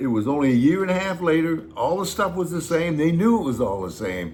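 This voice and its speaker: Speaking with an American accent, a man swings his pitch very widely at a moderate pace. Audible room echo surrounds him. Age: 80s+. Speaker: YouTube host, retiree. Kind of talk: casual chat.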